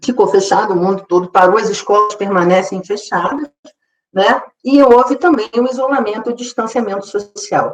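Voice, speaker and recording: Ordinary pitch variation from a woman at a fairly high pitch and a moderate pace. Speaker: psychologist, seminar speaker. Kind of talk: lecture. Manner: halting, many repetitions.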